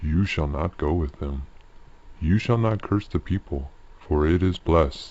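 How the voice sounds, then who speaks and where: Using a put-on character voice, a man talks at a moderate pace with a very deep, low pitch. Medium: read story. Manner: commanding, grave.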